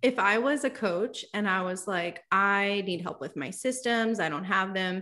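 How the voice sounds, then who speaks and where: Over music in the background, a woman at a medium pitch talks at a fairly slow pace with hardly any pauses. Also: ordinary pitch variation. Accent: American. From New York City. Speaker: course design agency founder. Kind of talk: casual interview.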